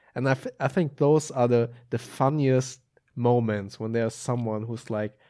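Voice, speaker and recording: In a German accent, a dark, mellow voice speaks at a fairly slow pace with fairly even intonation, on a very clean recording with a silent background. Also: man. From Germany, Hamburg. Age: 30s. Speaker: film editor and YouTuber. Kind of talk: casual interview chat. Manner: hesitant, many filler ums.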